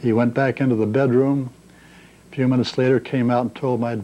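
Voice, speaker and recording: A man with a St. Louis accent talks at a fairly quick pace, his pitch sitting in the medium range. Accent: Midwestern American (St. Louis). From US Midwest, St. Louis, Missouri. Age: 70s. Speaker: retiree recording memoirs. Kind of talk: oral history monologue. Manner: unscripted, ad lib.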